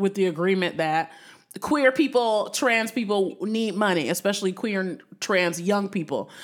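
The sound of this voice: A woman talks with lively intonation. Her pace is moderate.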